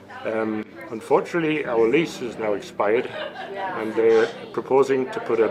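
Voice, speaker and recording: A man's voice with audible room echo and crowd noise in the background. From England. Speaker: pub owner. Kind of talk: interview. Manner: casual.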